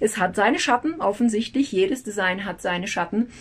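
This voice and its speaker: Over noticeable background noise, a woman speaks at a medium pitch in an energetic tone. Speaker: human design analyst and teacher. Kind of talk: educational video talk. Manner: rambling, metaphor-rich explaining.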